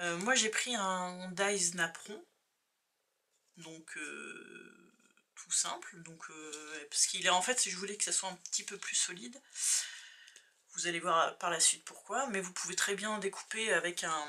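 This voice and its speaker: A woman with a bright, sharp tone and medium pitch speaks very slowly, with long, frequent pauses. Her loudness swings widely while her pitch varies in an ordinary way. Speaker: crafting youtuber. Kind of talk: tutorial. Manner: soft-spoken.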